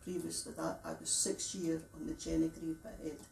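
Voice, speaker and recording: In a Scottish accent, a woman speaks at a moderate pace. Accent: Fife Scots. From Scotland, Fife (Lochgelly). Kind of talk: interview testimony.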